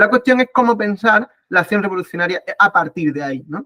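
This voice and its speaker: A man at a fairly quick pace, with lively intonation. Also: dry, close sound with no echo. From Spain. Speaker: political science professor. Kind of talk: online talk / lecture. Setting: video call. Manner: fast; hesitant, many fillers.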